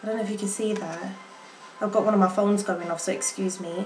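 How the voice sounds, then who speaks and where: A woman speaks at a fairly high pitch. Music plays in the background. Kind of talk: casual makeup review to camera. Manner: a bit halting.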